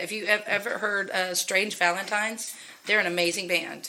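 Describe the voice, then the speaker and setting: Over noticeable background noise, a woman talks with fairly even intonation. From Texas. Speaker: singer-songwriter, musician. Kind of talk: casual interview chat.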